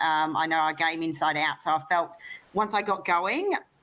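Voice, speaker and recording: A woman speaks with an Australian accent, her pitch fairly low and her tone bright and sharp. Her pitch varies in an ordinary way against a quiet background. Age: 30s. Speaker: lawn bowls player and sports broadcast host. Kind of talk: interview. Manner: fast.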